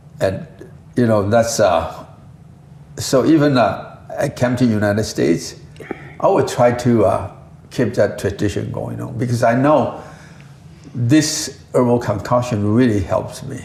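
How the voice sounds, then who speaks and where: With noticeable background noise and audible room echo, a man speaks at a fairly slow pace and medium pitch, using ordinary pitch variation and long, frequent pauses. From Taiwan. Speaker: company founder and herbal scientist. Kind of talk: interview.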